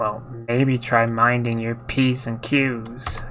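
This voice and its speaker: A man's put-on character voice at medium pitch, very slow, with monotone, flat intonation. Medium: solo performance. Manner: grumbling, exasperated.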